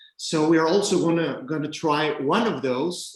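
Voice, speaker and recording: A man with a Mexican accent. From Mexico, Chiapas. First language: Spanish. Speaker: rum distillery representative. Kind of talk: virtual tasting presentation.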